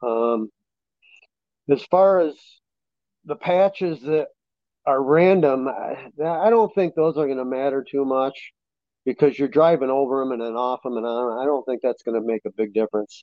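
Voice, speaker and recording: Long, frequent pauses break up a man's speech, delivered at a moderate pace in a medium pitch with ordinary pitch variation. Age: 50s. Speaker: race car driver and firefighter. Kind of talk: casual interview. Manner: halting.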